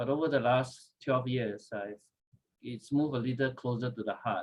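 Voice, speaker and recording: The speaker is a man at medium pitch. He talks at a moderate pace with ordinary pitch variation. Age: 60s. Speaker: devotion speaker at a theology school workshop. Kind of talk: devotional talk. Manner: halting with many fillers.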